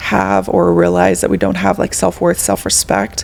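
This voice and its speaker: Against noticeable background noise, a woman keeps up a fairly quick pace. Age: 30s. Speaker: podcast host. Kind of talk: casual podcast interview.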